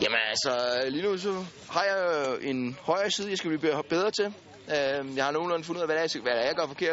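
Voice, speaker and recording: A man at a fairly quick pace with lively intonation, over noticeable background noise. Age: 20s. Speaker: injured soldier, amputee. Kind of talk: casual interview.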